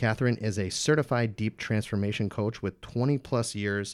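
The recording is very clean, with a silent background. A man with an unremarkable speaking voice talks at a moderate pace and fairly low pitch, his intonation fairly even. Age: 20s. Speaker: podcast host. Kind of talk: podcast intro; interview.

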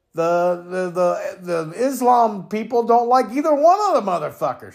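A man shouts loudly in an angry tone at an extremely high pitch. His intonation is lively while his pace stays fairly slow. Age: 50s. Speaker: podcast opinion host. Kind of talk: profane solo political rant, no filter. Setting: home recording, cat in the background. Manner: angry, expletive-laden ranting with repeated stammered words; loud, self-described raging buffoon.

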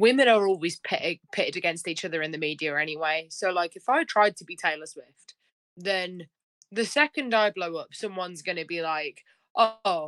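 A woman speaks with a British accent. Her pitch is fairly low. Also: dry, close sound with no echo. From United Kingdom. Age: 20s. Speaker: country singer-songwriter. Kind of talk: casual interview.

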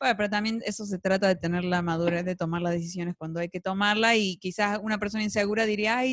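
A woman speaks very fast with hardly any pauses, and the sound is dry and close with no echo. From Argentina. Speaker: podcast co-host. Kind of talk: casual chat. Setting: studio.

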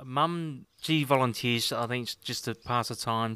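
A man with an Australian accent speaks at a fairly slow pace in a bright, sharp tone, on a very clean recording with a silent background. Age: 50s. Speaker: host's partner, interviewee. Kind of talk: casual interview. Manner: halting, many fillers.

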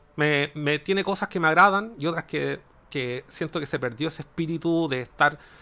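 At a moderate pace, the voice has a bright, sharp tone and ordinary pitch variation. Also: man, fairly high pitch for a man. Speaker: video game podcast host. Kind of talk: casual chat.

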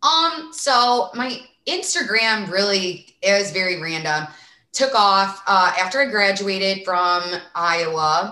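Speaking at a very slow pace, a woman talks with a strong Midwestern accent. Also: medium pitch for a woman, lively intonation. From small town Illinois, US Midwest. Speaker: sports reporter and influencer. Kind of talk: casual interview chat.

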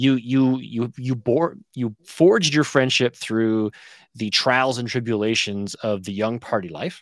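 Very clean and silent in the background, the recording holds a plain, everyday voice moving at a fairly slow pace with ordinary pitch variation. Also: man, medium pitch for a man. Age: 40s. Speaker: fantasy football podcast host. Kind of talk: casual chat.

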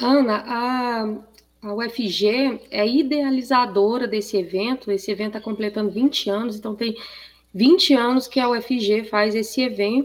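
A woman with an unremarkable speaking voice talks at a fairly slow pace, her fairly high pitch held in fairly even intonation. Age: 40s. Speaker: professor, agricultural fair organizer. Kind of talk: radio interview.

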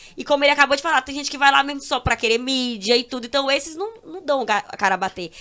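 A woman's raised, projected voice, high-pitched with a bright, sharp tone, at a very fast pace with hardly any pauses, lively intonation and big swings in loudness. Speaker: social media influencer. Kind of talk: casual chat.

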